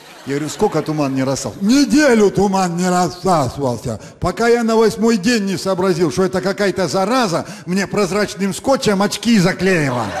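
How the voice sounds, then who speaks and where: The man's intonation is lively. He talks at a moderate rate. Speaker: comedian. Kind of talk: stand-up comedy monologue. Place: stage. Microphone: handheld.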